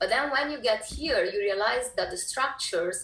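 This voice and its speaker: This woman speaks with an Italian accent at a moderate pace. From Italy, Naples. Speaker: filmmaker. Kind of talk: interview.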